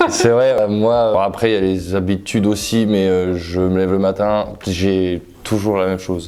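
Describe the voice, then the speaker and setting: Speaking at a moderate pace, a man with a fairly low voice keeps a monotone, flat intonation and very even loudness, with audible room echo around him. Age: 20s. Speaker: handball player. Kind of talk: casual interview.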